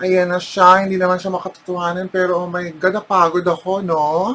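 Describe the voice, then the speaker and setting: Noticeable background noise accompanies talking at a moderate speed. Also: woman. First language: Filipino. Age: 40s. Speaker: makeup vlogger. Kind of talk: casual vlog talk mixing Tagalog and English. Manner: animated.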